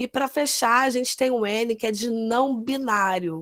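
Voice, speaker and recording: Speaking slowly, though not very slowly, a woman uses a high pitch. The sound is dry and close with no echo, in a very clean recording with a silent background. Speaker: nurse. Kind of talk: lecture.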